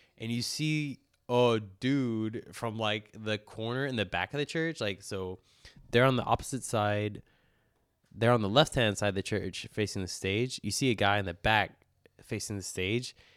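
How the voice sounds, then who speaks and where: An ordinary speaking voice with an American accent, ordinary pitch variation and a moderate pace, on a very clean recording with a silent background. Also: man, fairly low pitch for a man. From Houston area, Texas. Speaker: podcast host. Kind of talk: casual chat.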